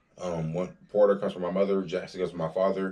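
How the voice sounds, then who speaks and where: At a fairly quick pace, a man talks with a very deep, low pitch and monotone, flat intonation. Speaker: college student vlogger. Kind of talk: casual vlog monologue. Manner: fast.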